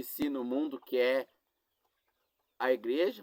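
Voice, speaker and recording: A man of medium pitch speaks with fairly even intonation in a dry, close sound with no echo. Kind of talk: sermon. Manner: slow; halting.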